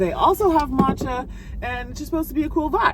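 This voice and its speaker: A woman speaks over noticeable background noise. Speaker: lifestyle vlogger. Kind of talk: casual vlog talk to camera. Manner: fast.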